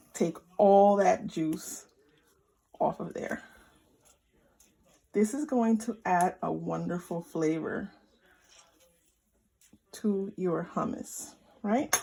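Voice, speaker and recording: A woman's somewhat breathy, dark, mellow voice at medium pitch, with lively intonation, a very slow pace and long, frequent pauses. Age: 40s. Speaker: home cook and lifestyle vlogger. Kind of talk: casual cooking tutorial to camera.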